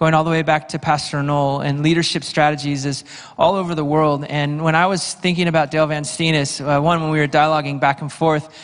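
The speech runs at a fairly quick pace in a monotone, flat intonation. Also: man, quiet background. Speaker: pastor introducing a guest speaker. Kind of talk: announcements and introduction to a congregation. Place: church. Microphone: handheld.

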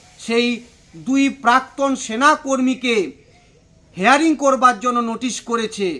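A man's raised, projected voice at an extremely high pitch. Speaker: local party politician. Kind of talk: political statement to press. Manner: emphatic.

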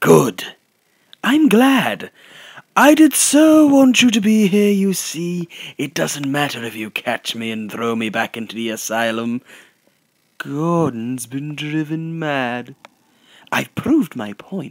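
A man puts on a character voice, speaking at a fairly slow pace with a fairly high pitch. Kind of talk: amateur fan voice acting, hushed delivery. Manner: mocking, manic, punctuated by laughter.

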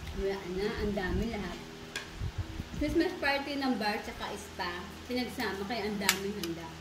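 Someone talks at a moderate pace over noticeable background noise. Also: woman. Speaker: vlogger. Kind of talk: casual vlog chat while eating. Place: kitchen. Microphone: phone near.

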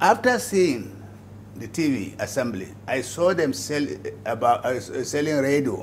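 A man with a Nigerian accent speaks at a fairly slow pace and fairly high pitch, with very wide pitch swings. Long, frequent pauses break his speech over light background noise. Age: 80s+. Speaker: businessman. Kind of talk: interview. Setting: at home. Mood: earnest, reflective. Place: home room.

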